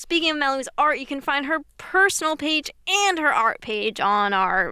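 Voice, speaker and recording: A woman's raised, projected voice, high-pitched and bright and sharp in tone, with very wide pitch swings on a very clean recording with a silent background. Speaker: podcast host. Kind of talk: casual chat.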